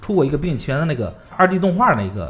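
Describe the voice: Talking at a very fast pace, a man uses big pitch swings in a fairly high voice with a fairly bright tone.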